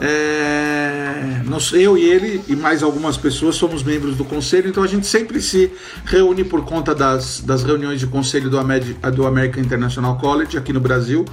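With hardly any pauses, a man speaks at a moderate pace in a fairly high voice with ordinary pitch variation, over noticeable background noise and audible room echo. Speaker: marketing consultant and online class host. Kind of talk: online lecture.

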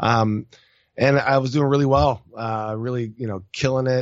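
A man with an American accent talks at a moderate pace, his pitch varying in an ordinary way. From France and US. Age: 30s. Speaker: entrepreneur. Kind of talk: casual interview.

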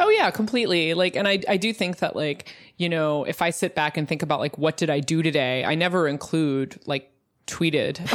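With an unremarkable speaking voice, a woman talks at a fairly quick pace, her pitch fairly low and its variation ordinary, over a quiet background. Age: 30s. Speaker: journalist and podcaster. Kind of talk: casual interview.

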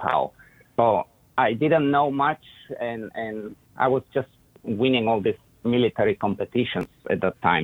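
Speaking at a moderate pace with an Eastern European accent, a man of medium pitch uses lively intonation broken by long, frequent pauses. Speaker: dog trainer and breeder. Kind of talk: casual interview.

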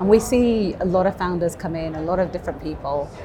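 Over noticeable background noise, a woman talks at a fairly quick pace and medium pitch. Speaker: bank innovation executive. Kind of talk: interview. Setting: live event venue.

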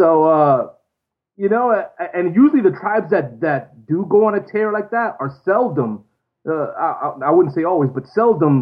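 At a moderate pace, a man with a high voice speaks with very wide pitch swings. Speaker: former reality show contestant, phone guest. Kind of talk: casual chat. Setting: phone call.

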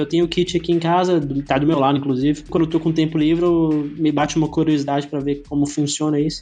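Music plays in the background. A man with a fairly high pitch speaks at a fairly quick pace. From Brazil, Goiânia (Goiás). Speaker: indie game developer. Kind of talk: interview. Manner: halting, frequent word repetitions.

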